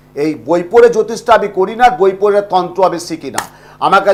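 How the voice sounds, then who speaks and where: Noticeable background noise sits behind this recording. A man speaks in a high voice with ordinary pitch variation. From India, West Bengal (Bankura district). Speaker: astrologer. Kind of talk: live call-in consultation. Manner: loud; talkative.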